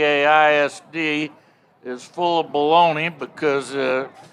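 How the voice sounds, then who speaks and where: With a Texan accent, the speaker talks at a very slow pace in a monotone, flat intonation. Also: man. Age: 60s. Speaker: football commentator. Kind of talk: interview. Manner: halting.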